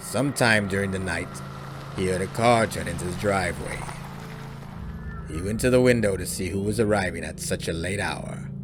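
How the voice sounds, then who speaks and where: A man with a fairly low voice speaks at a moderate pace, with ordinary pitch variation. Long, frequent pauses break up his speech over noticeable background noise. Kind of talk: horror story reading, audiobook narration.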